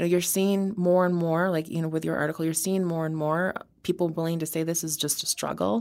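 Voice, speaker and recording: A woman with an American accent has an unremarkable speaking voice, fairly low in pitch. She talks at a fairly quick pace. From Wisconsin. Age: 30s. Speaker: criminal defense attorney. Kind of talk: interview. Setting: studio.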